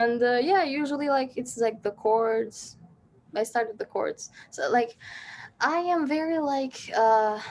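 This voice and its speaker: In an Albanian accent, a woman speaks at a fairly slow pace with a high pitch. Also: ordinary pitch variation. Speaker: singer-songwriter. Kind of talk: casual interview chat.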